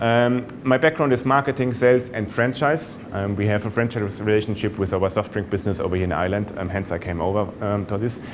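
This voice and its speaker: Over noticeable background noise, a man with a German accent talks at a fairly quick pace with hardly any pauses, his pitch fairly low and its variation ordinary. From Germany. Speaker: sales executive. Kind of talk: business presentation. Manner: hesitant, many fillers.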